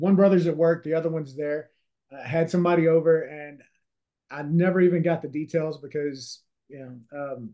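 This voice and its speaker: With a Louisiana accent, a man speaks at a moderate pace in a dark, mellow tone, fairly high-pitched, with fairly even intonation, big swings in loudness, and long, frequent pauses. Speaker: real estate investor and author. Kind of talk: interview.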